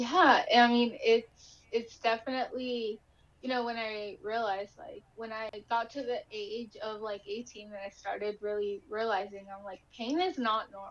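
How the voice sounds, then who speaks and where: Speaking with a Spanish accent, a woman talks at a fairly slow pace with hardly any pauses. Her fairly high pitch varies an ordinary amount, and her loudness swings widely. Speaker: inspirational speaker with chronic illness. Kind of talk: interview testimony.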